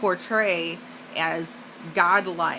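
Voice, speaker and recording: A woman's fairly low-pitched voice against noticeable background noise. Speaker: evangelistic speaker. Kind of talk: evangelistic spoken-word sermon.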